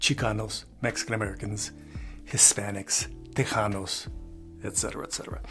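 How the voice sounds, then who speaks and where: Fairly quick male speech over music in the background. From Chicano Mexican-American, from Crystal City, Texas. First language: bilingual Spanish and English. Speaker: YouTuber and photographer. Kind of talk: casual talk to camera, family history. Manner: conversational, many filler words.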